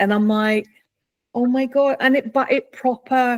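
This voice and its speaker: Dry and close with no echo, a woman's somewhat breathy voice shows ordinary pitch variation. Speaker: coaching group member. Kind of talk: group video call.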